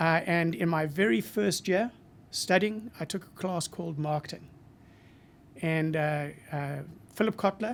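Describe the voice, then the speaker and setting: The man speaks with a high pitch. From Zimbabwe. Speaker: marketing professor. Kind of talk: interview. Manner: halting, with many fillers.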